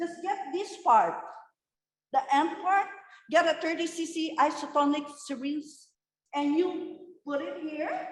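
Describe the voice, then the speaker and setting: Amid audible room echo, a loud woman speaks at an extremely high pitch with ordinary pitch variation, a fairly slow pace, and long, frequent pauses. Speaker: nurse educator. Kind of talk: lecture. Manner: loud, emphatic.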